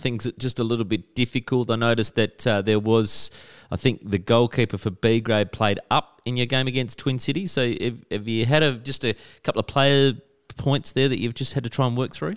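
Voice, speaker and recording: A man with an Australian accent talks at a fairly quick pace with ordinary pitch variation. The sound is dry and close, with no echo. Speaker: radio host. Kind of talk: casual radio interview.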